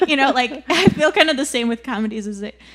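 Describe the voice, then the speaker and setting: A woman mumbles at a fairly quick pace. Noticeable background noise is present. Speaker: podcast host. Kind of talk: casual chat. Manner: mumbling.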